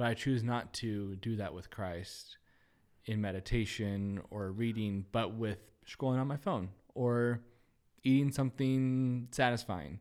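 Using a normal speaking voice, a man with a medium pitch talks at a fairly slow pace with ordinary pitch variation. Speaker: podcast host. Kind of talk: casual chat.

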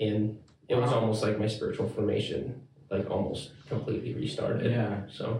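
A man speaks in an ordinary speaking voice at a medium pitch and a moderate pace. His intonation is fairly even and his loudness very even. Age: 20s. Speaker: church elder. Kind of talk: casual interview. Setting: studio room recorded on phone camera.

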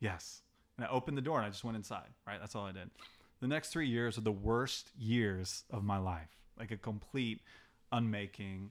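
With an American accent, a man in an ordinary speaking voice and fairly low pitch talks at a moderate pace with ordinary pitch variation, in a very clean recording with a silent background. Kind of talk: casual chat; teaching.

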